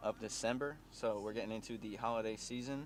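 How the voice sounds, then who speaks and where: With audible room echo, a man speaks at a moderate pace in a fairly low pitch. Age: 20s. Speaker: fitness vlogger. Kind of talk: casual vlog. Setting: gym. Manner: many fillers (uh).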